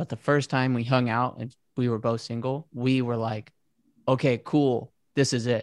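The speaker talks at a fairly slow pace with an American accent, in a flat monotone, with a dry, close sound and no echo. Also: man. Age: 20s. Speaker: podcast host. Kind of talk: casual chat. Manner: introverted.

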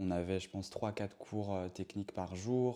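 This is a man talking. His pitch sits fairly low. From Brittany, France. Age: 30s. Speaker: professional dancer. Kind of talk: interview. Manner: hesitant, many fillers.

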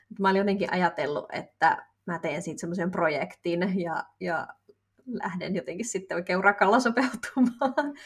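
Somewhat breathy and medium in pitch, a woman's voice moves at a moderate pace. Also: lively intonation. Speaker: podcast co-host. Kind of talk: casual chat.

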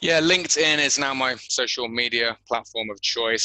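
A man speaks with a West Country accent in a bright, sharp tone. The sound is dry and close, with no echo. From England, Bristol. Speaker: gym owner and podcast host. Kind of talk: interview.

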